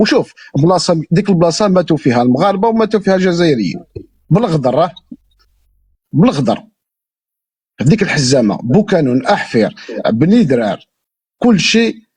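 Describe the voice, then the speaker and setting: Pitched high, this man's voice swings very widely in pitch while keeping very even loudness, broken by long, frequent pauses. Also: moderate pace. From Algeria, Moroccan border area. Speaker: interviewee, Algerian emigrant. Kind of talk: casual chat.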